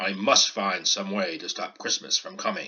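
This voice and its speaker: Using a put-on character voice, a man growls at a fairly low pitch and a moderate pace. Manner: growling, scheming.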